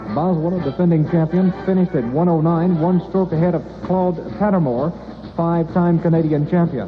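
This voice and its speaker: High-pitched male speech at a fairly quick pace, very even in loudness, with music in the background. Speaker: radio newscaster and sports announcer. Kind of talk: radio news and sports report read. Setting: vintage 1967 AM radio broadcast.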